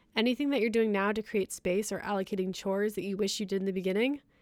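A woman with a medium pitch talks very fast, her intonation fairly even. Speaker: podcast host. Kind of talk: casual chat. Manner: halting.

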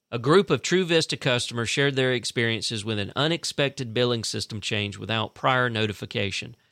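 This man speaks with a Southern US accent at a medium pitch. His pace is fairly quick, his intonation lively, and the sound is dry and close with no echo. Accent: Southern US (Georgia). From US South, South Central Georgia (Fitzgerald). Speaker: local news podcast host. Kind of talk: news reading.

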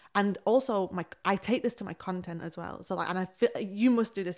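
A woman speaks with an English accent at medium pitch. The recording is very clean, and the background is silent. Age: 20s. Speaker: creative coach. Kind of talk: casual chat. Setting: face to face at home. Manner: fast.

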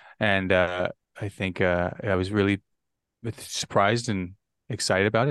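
This man has a normal speaking voice, fairly low in pitch, with ordinary pitch variation, a fairly quick pace, and a dry, close sound with no echo over a quiet background. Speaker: podcast guest. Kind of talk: casual chat.

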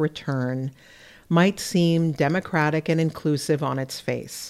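Ordinary pitch variation at a moderate pace on a very clean recording with a silent background. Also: woman. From Dakota communities. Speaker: academic essayist. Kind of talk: reading an essay aloud.

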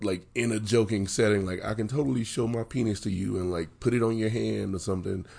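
A man with a West Virginia accent and a dark, mellow tone speaks at a very fast pace with hardly any pauses, his fairly low pitch held in fairly even intonation. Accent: West Virginia, trouble with L sounds. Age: 30s. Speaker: novelist. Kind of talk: casual interview.

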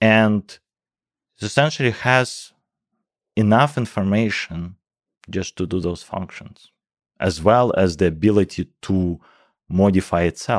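On a very clean recording with a silent background and a dry, close sound with no echo, a man speaks fairly slowly with a fairly low pitch, ordinary pitch variation, and long, frequent pauses. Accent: strong Russian. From Russia. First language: Russian. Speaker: professor of computational biology. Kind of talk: interview conversation. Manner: hesitant, many fillers.

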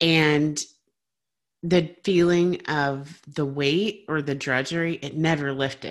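Very slow speech with fairly even intonation against a quiet background. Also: woman, very deep, low pitch for a woman. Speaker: podcast host and wellness coach. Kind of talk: casual interview conversation.

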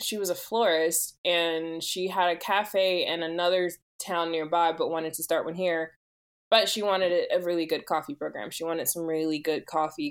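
A woman with an American accent talks at a moderate pace, her pitch fairly low and her intonation fairly even. It is an unremarkable speaking voice. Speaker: coffee consultant. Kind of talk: interview conversation.

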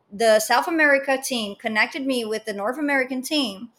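A woman with a high pitch speaks in a Portuguese accent, using ordinary pitch variation. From Brazil. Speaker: business founder and startup mentor. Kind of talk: interview conversation.

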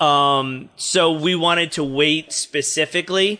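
A man with an American accent speaks at a high pitch in a bright, sharp tone. His pitch varies normally, and the background is quiet. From New Jersey. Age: 30s. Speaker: stand-up comedian. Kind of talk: casual chat.

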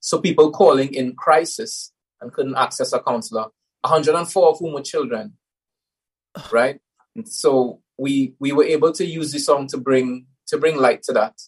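A somewhat breathy man speaks at a fairly high pitch. His pace is moderate and his pitch variation ordinary. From Trinidad. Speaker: musician. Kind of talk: casual interview.

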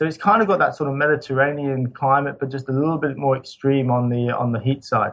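A man rattles along at a very fast pace, his fairly high voice showing ordinary pitch variation. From Scotland. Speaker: sustainable building consultant. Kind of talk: interview. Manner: halting.

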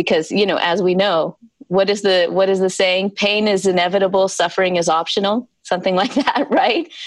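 A woman with an American accent, an ordinary speaking voice, medium pitch, fairly quick pace, very even loudness and fairly even intonation. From US South, South Carolina. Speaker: scientist and founder of a healing research initiative. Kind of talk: interview. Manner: conversational with fillers.

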